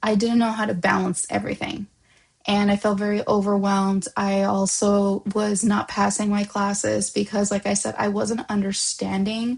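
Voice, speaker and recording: Delivered at a moderate pace over a quiet background, the somewhat breathy voice keeps a monotone, flat intonation and very even loudness. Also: woman. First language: Spanish. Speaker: vlogger. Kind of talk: personal reflection vlog. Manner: hesitant, many fillers and restarts.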